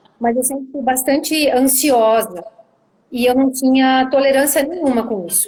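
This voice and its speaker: A woman speaks at a moderate pace with a southern Brazilian accent. Her pitch is high for a woman, and it rises and falls in an ordinary way. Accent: southern Brazilian (gaúcho). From southern Brazil, Caxias do Sul (Rio Grande do Sul). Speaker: misophonia sufferer sharing experience. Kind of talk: live video interview. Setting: video call livestream.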